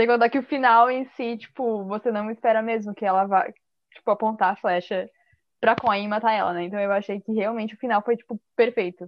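A woman talks at a fairly quick pace in a normal speaking voice. Her intonation stays fairly even. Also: fairly high pitch for a woman. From Santa Catarina, southern Brazil. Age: 20s. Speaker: podcast guest. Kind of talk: casual chat. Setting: video call.

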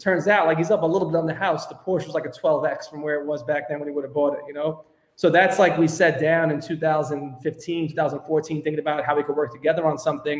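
Speaking very fast with hardly any pauses, a man with a Brooklyn accent keeps a fairly high pitch and monotone, flat intonation. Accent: New York (Brooklyn). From New York, Brooklyn. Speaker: tech startup co-founder. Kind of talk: podcast interview.

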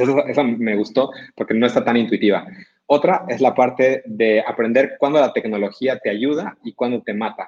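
Speaking at a moderate pace, a man uses a medium pitch with ordinary variation. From Bolivia, Cochabamba. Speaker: tech entrepreneur. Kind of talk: book review presentation. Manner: halting, frequent repetitions.

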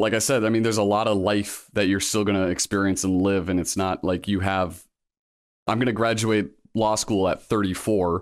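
The speaker moves at a fairly quick pace with fairly even intonation, in a very clean recording with a silent background. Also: man. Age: 30s. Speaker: military veteran and law school applicant. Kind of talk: casual interview. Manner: hesitant, many fillers.

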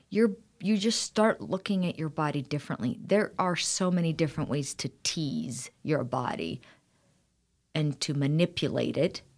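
A woman's very deep, low voice carries vocal fry and lively intonation. She keeps a moderate pace on a very clean recording with a silent background. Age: 40s. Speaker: style consultant. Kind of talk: interview. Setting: studio.

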